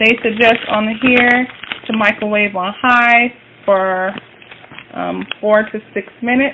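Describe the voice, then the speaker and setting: With an American accent, a woman speaks at a very slow pace in a monotone, flat intonation, leaving long, frequent pauses over noticeable background noise. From US North. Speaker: cooking vlogger. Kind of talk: cooking tutorial. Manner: casual, hesitant with many fillers. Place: kitchen. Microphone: phone near.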